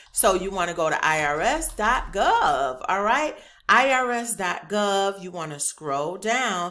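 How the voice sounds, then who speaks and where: A woman speaks loudly at a medium pitch with very wide pitch swings. Her tone is bright and sharp. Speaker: YouTuber teaching government contracting. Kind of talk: tutorial. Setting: home office being set up. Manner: casual, chatty.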